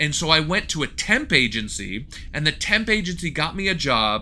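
A man speaks with a fairly high pitch and a bright, sharp tone. Vocal fry runs through his voice. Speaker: podcast co-host. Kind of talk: casual chat.

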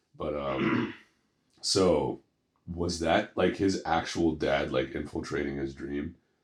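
A man's very deep, low voice with vocal fry, fairly even intonation and a very slow pace. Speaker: podcast co-host. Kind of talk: casual chat.

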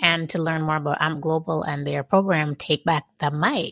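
A woman speaks at a moderate pace in an unremarkable speaking voice with fairly low pitch. The recording is very clean, with a silent background and a dry, close sound with no echo. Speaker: podcast host. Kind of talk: interview.

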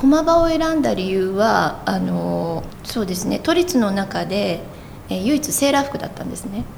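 A woman keeps a moderate pace while audible room echo and noticeable background noise fill the recording. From Tokyo, moved around Japan as a child. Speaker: construction company president. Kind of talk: interview.

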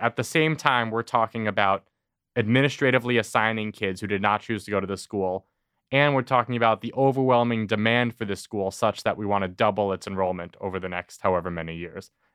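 A man with a normal speaking voice talks fairly quickly at a fairly low pitch, over a quiet background with a dry, close sound and no echo. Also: ordinary pitch variation. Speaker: podcast host. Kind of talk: news recap discussion.

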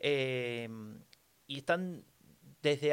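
A man with a Rioplatense accent talks with ordinary pitch variation. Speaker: podcast co-host. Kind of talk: casual political chat.

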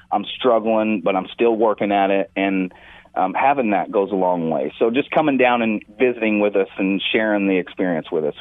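This is a plain, everyday voice: a man with a fairly low pitch and ordinary pitch variation. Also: moderate pace. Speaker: veterans court mentor coordinator. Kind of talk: radio interview.

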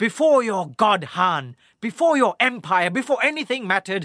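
Projecting a raised voice at a fairly slow pace, a man swings very widely in pitch on a very clean recording with a silent background. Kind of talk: dramatic audio-drama narration, played as a cocky prisoner. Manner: sardonic, theatrical, taunting, wry.

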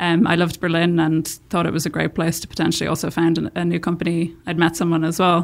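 A woman talks very fast with a Dublin accent, her intonation flat and monotone. The recording is very clean, with a silent background. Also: fairly low pitch for a woman, hardly any pauses. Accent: Irish (Dublin). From Ireland, Dublin. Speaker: tech startup founder. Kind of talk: interview conversation. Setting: studio.

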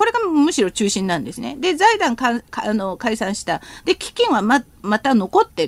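A woman's high pitch in a Korean accent, at a moderate pace with hardly any pauses, very wide pitch swings and big swings in loudness, dry and close with no echo. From South Korea. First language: Korean (speaking Japanese). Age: 50s. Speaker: professor. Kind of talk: radio interview, expert commentary.

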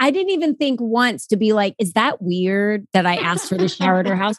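A woman with an ordinary speaking voice, fairly high in pitch, with lively intonation, a fairly quick pace and hardly any pauses, recorded dry and close with no echo. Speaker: podcast guest. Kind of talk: casual chat.

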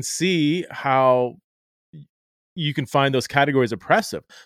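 This is a man with an ordinary speaking voice, talking at a moderate pace with lively intonation. The recording is very clean, with a silent background. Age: 40s. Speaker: author and theologian. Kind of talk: interview on faith and gender.

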